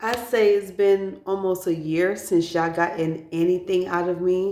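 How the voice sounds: With a dark, mellow tone, a woman talks at a fairly low pitch. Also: fairly even intonation, fairly slow pace.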